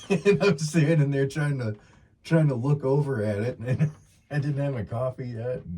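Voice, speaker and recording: This man's voice is fairly high in pitch and somewhat breathy. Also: ordinary pitch variation, moderate pace. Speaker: outdoors podcast co-host. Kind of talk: casual chat. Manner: stutters at times.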